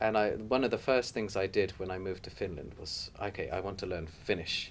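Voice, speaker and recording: A man with a southern English accent talks at a fairly quick pace with ordinary pitch variation. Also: fairly low pitch for a man. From southwest England, Torquay. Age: 30s. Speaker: migrant interviewee. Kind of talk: interview.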